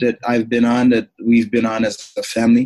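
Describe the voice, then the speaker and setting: A man with a slight Jamaican accent speaks at a medium pitch in a dark, mellow tone, with a dry, close sound and no echo. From Toronto, Canada. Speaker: former pro football player and speaker. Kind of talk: interview. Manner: many fillers and repetitions.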